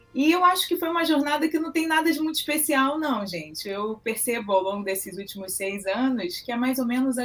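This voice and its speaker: A woman talks with lively intonation. Music plays in the background. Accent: Rio de Janeiro. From Brazil, Rio de Janeiro. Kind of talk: interview.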